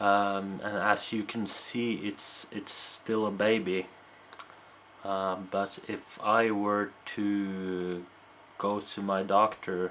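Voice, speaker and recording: The speech comes at a very slow pace with a Norwegian accent. The intonation stays monotone and flat. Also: man, fairly low pitch for a man. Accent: faint Norwegian. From Norway. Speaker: video blogger. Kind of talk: casual monologue to camera. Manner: halting, many repetitions and fillers.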